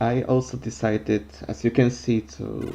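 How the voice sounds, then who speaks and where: In a non-native accent, a man with a fairly low pitch speaks at a very slow pace with lively intonation over noticeable background noise. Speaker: gamer. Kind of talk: gameplay commentary. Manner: halting.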